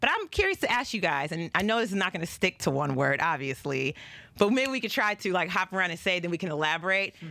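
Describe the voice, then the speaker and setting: Her tone is animated, bright and sharp, with lively intonation. The woman talks at a very fast pace and medium pitch. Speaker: podcast and radio host. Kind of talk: casual chat. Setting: studio.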